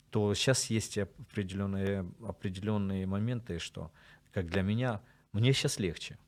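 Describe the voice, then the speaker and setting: A man's unremarkable speaking voice, fairly slow and fairly even in intonation. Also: fairly low pitch for a man, very clean recording, silent background. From Sloviansk, eastern Ukraine. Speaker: military chaplain. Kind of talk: interview.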